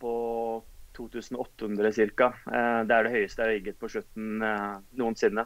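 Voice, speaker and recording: A man's flat, monotone voice at a fairly slow pace. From Oslo, Norway; Norway. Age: 30s. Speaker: physiotherapist and physique competitor; podcast guest. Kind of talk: interview conversation. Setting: Skype call. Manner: hesitant, many fillers. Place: home room. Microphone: video call.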